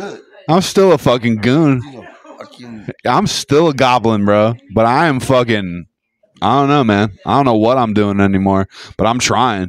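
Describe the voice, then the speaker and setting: Lively intonation and big swings in loudness mark a man's medium-pitched voice at a moderate pace. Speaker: podcast host. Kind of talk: casual chat. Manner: animated.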